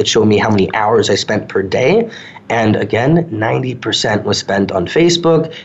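Against noticeable background noise, a man with an American accent speaks at a moderate pace, medium pitch and ordinary pitch variation. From New York suburbs. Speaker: social media consultant. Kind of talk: interview.

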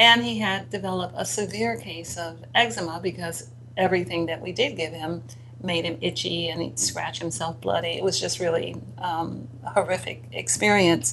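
Over noticeable background noise, a woman speaks at a fairly low pitch with very wide pitch swings. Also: moderate pace. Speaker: radio host. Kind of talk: talk radio conversation.

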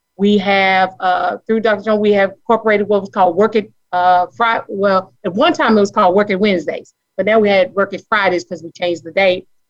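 With an American accent, a woman talks at a fairly quick pace in an ordinary speaking voice, medium in pitch, with hardly any pauses. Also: fairly even intonation. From Charlotte, North Carolina. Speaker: caller, middle school teacher.

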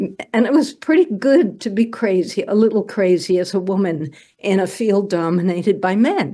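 Speaking at a moderate pace with an American accent, a woman uses lively intonation in a medium pitch and a dark, mellow tone. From New York City, Greenwich Village. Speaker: poet and money coach. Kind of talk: casual chat.

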